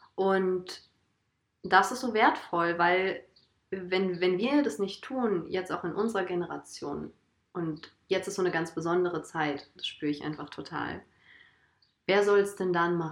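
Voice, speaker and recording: A woman with a medium pitch and ordinary pitch variation talks at a fairly slow pace, leaving long, frequent pauses. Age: 20s. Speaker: holistic coach and trainee alternative practitioner. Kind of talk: casual conversation.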